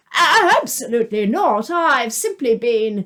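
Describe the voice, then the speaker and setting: A put-on character voice at a fairly slow pace. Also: woman, high pitch for a woman. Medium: read story. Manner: smarmy, then panicky.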